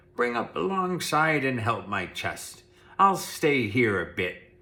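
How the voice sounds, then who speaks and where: Speaking fairly slowly in a gruff, put-on character voice, a man holds a medium pitch while swinging very widely up and down. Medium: read story. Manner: rough, gruff.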